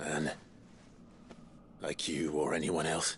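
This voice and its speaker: Through clear background noise, a man puts on a raspy character voice pitched very deep and low. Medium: short film.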